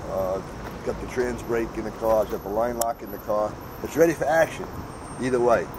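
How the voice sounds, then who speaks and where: A man talks fairly quickly while loud noise fills the background. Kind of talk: interview answer. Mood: relaxed, proud. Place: street. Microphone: camera far.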